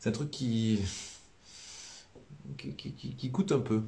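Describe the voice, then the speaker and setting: With a southern French accent, a man speaks in a fairly low, somewhat breathy voice with a dark, mellow tone and lively intonation, audible room echo around him. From southern France. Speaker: priest. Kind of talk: live-stream religious teaching. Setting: live stream. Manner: casual, many hesitations.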